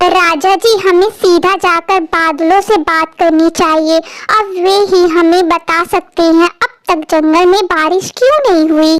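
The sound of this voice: A female-sounding, cartoonish character voice speaks at an extremely high pitch. The pace is fairly slow, with hardly any pauses.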